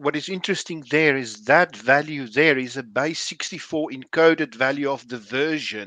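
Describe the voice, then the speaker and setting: A man speaks in a bright, sharp tone with ordinary pitch variation and hardly any pauses. The sound is dry with no echo, over a quiet background. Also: fairly high pitch for a man, moderate pace. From South Africa. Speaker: software developer. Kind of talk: technical group discussion. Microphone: video call.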